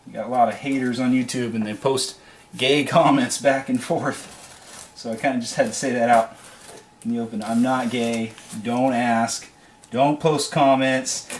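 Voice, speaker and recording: Noticeable background noise accompanies a man talking at a moderate pace in a medium pitch. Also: fairly even intonation. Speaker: YouTuber. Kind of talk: casual vlog talk. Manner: filler-heavy, many ums.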